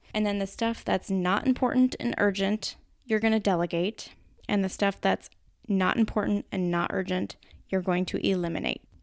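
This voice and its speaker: A woman speaks with a Minnesotan accent at medium pitch. Her loudness is very even, with ordinary pitch variation. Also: moderate pace, very clean recording, silent background. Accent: Minnesota. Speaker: podcast host. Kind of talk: solo podcast talk. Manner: casual, conversational.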